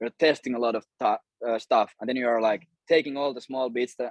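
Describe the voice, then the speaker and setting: A man talks at a fairly quick pace. He has a Finnish accent and a medium pitch. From Finland. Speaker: cold email agency owner and course creator. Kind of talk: interview.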